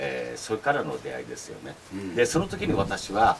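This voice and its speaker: Very wide pitch swings mark this fairly quick speech, heard over light background noise. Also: man. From Okinawa, Japan. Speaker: channel host interviewer. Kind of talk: casual talk show interview. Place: home room. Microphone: camera far.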